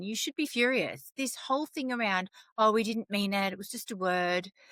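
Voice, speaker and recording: A woman with an Australian accent sounds loud and animated, her tone bright and sharp, with a fairly high pitch and very wide pitch swings. The recording is very clean and dry, close with no echo and a silent background. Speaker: storyteller, vlogger. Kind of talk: impassioned opinion vlog.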